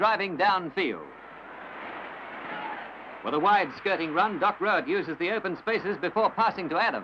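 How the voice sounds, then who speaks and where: Over noticeable background noise, a man with an Australian accent projects a raised, high-pitched voice with ordinary pitch variation, moving at a moderate pace broken by long, frequent pauses. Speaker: newsreel sports commentator. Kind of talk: newsreel sports commentary. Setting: old archival recording.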